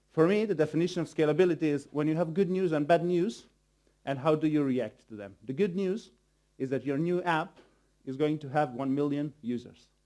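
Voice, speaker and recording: On a very clean recording with a silent background, a man with a dark, mellow tone and fairly high pitch talks at a fairly quick pace, using ordinary pitch variation. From Bosnia and Herzegovina. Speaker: software developer, conference speaker. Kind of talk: conference presentation. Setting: stage with audience.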